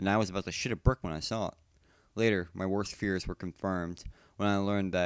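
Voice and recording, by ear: Intonation stays fairly even as someone is reading aloud in a natural voice.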